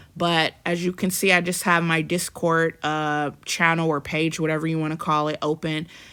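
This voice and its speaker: Bright and sharp in tone, a woman with a fairly low pitch speaks in a flat monotone at a moderate pace with hardly any pauses, on a very clean recording with a silent background. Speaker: prophetic minister, online preacher. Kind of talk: casual video talk. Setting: home video recording by a window. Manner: loud, projecting; confident, boisterous.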